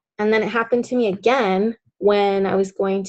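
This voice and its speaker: The speaker is a woman. Her voice has a medium pitch. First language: Spanish. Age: adult. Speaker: coach leading a group training class. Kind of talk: group coaching session. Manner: casual, conversational with fillers.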